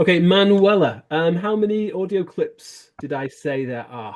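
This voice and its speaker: A man with an ordinary speaking voice talks at a fairly slow pace with lively intonation. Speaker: English exam teacher. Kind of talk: lecture.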